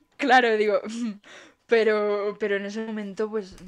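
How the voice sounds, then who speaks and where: A woman speaks with a Spanish accent at a fairly slow pace. Her pitch is medium. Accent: Peninsular Spanish. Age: 20s. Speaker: podcast co-host. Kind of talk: casual chat. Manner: animated.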